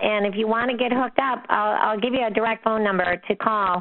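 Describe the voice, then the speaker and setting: A woman with an American accent, fairly high-pitched, over noticeable background noise. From US Midwest, Minnesota. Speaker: real estate investing coach. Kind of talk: Q&A call hosting. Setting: phone call. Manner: animated.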